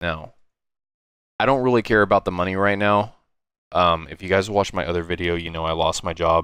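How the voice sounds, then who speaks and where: At a fairly quick pace but with long, frequent pauses, a man with a very deep, low pitch talks with ordinary pitch variation. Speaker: YouTuber, gaming video creator. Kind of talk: personal vlog monologue. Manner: halting, repeats words.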